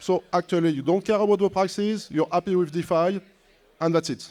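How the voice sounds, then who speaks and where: A high-pitched male voice with a non-native accent. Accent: non-native English accent, noticeable. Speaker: tech company executive. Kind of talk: panel discussion.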